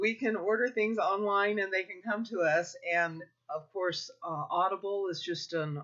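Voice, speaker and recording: Her speed is moderate. The woman's pitch shifts in an ordinary way. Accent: American. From Kansas, US Midwest. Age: 60s. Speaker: homeschooling parent advisor. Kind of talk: informal advice talk.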